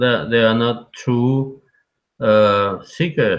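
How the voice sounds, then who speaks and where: A man with a Russian accent speaks at a medium pitch. His intonation is fairly even. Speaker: call-in guest on livestream. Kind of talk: casual chat. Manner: halting.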